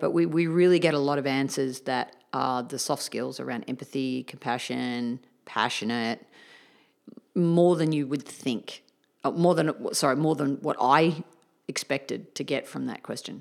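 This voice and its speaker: A woman speaks with an Australian accent in a very deep, low voice with ordinary pitch variation. The recording is very clean, with a silent background. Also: moderate pace. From Australia, Melbourne. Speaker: tennis coach and speaker. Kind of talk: casual interview.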